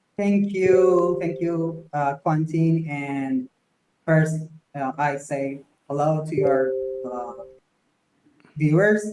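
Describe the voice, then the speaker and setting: Here a man speaks with a Persian accent. His pitch sits fairly high. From Iran, Tehran. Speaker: architect and company founder. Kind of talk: interview. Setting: live video podcast. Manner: halting with many fillers.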